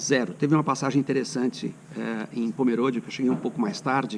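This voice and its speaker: Using a normal speaking voice, a man talks at a fairly quick pace in a medium pitch with ordinary pitch variation. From São Paulo state, Brazil. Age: 60s. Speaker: cycling vlogger. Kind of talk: casual travel vlog talk.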